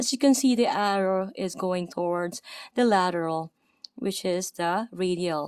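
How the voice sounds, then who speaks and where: A woman with a Filipino accent at a medium pitch and moderate pace, with ordinary pitch variation and a dry, close sound with no echo, on a very clean recording with a silent background. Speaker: anatomy instructor. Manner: hesitant, uses many fillers.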